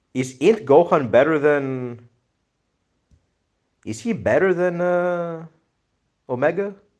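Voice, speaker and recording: This speaker has a Greek accent and lively intonation. The pace is very slow, with long, frequent pauses. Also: man, high pitch for a man. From Greece. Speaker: livestreamer, anime video editor. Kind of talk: casual livestream chat reading viewer comments. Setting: live stream.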